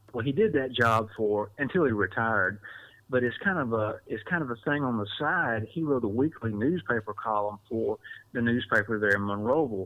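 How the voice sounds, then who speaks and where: Here a man with an Alabama accent talks at a moderate pace. His medium-pitched voice has ordinary pitch variation. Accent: US Southern (Alabama). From Southwest Alabama. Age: 40s. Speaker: newspaper reporter. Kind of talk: podcast interview. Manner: repetitive false starts.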